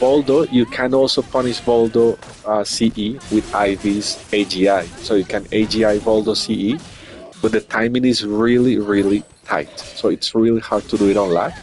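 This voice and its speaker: A man talks at a moderate pace with very even loudness and fairly even intonation. There is noticeable background noise. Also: medium pitch for a man. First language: not English. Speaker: streamer and tournament commentator. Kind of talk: live game commentary. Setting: live stream.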